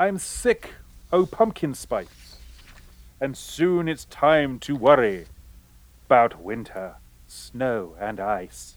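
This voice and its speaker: Very wide pitch swings mark this man's very slow delivery, broken by long, frequent pauses. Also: medium pitch for a man, very clean recording, silent background. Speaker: radio announcer and comic actor. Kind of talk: radio dj patter, scripted comedy variety show announcing. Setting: stage with audience, live radio broadcast. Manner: animated, playful, tongue-in-cheek; mock-pompous when playing the professor.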